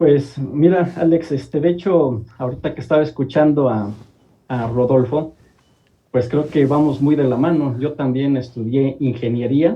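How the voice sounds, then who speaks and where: This man speaks at a fairly slow pace in a fairly high pitch. His voice is somewhat breathy, with ordinary pitch variation. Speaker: columnist and industrial engineer. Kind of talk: TV talk show interview.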